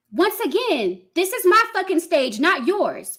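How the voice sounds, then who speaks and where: With a raised, projected voice, a woman talks at a moderate pace in a bright, sharp tone, her extremely high pitch moving through very wide swings. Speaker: live streamer. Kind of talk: live stream rant at chat. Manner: loud when passionate; heated, forceful.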